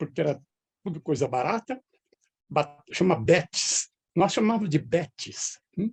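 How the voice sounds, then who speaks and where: With vocal fry and a dark, mellow tone, a man talks at a fairly slow pace with lively intonation, the sound dry and close with no echo. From Brazil, northwest São Paulo state (near Andradina). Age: 70s. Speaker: retired professor. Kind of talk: interview.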